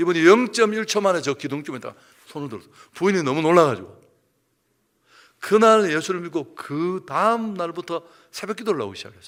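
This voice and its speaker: The speech moves at a fairly quick pace with lively intonation, big swings in loudness, and long, frequent pauses. The recording is very clean, with a silent background. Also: man, high pitch for a man. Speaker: pastor. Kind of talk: sermon. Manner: animated, hurried.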